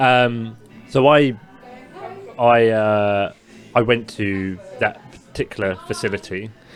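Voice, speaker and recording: Very slow speech with an English accent, fairly even intonation, long, frequent pauses and music in the background. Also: man, medium pitch for a man. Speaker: podcast co-host. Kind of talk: casual chat.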